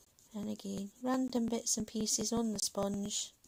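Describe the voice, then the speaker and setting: The woman's voice is medium in pitch and somewhat breathy. She talks at a moderate pace. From Manchester, northern England. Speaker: colouring YouTuber. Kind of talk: casual livestream chat while colouring. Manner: hesitant, many fillers.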